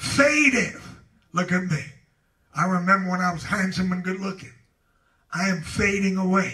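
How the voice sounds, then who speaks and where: A man speaks in a raised, projected voice, high-pitched, bright and sharp, with an animated tone and ordinary pitch variation. His pace is moderate, broken by long, frequent pauses. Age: 70s. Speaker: pastor. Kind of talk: Bible study teaching. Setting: church.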